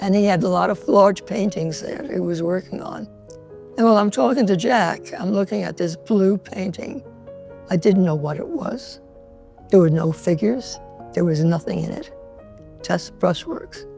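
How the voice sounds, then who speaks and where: Music plays in the background. A woman with a New York accent talks at a moderate pace. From New York City, the Bronx. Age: 90s. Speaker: painter. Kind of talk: interview. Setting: artist's loft.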